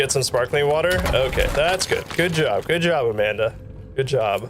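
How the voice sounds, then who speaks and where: A man's voice at a very even loudness, with noticeable background noise. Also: moderate pace. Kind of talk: casual live stream chat while gaming. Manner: animated.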